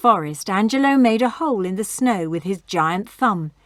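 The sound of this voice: The reading voice here sounds unforced. Its intonation moves in a lively way.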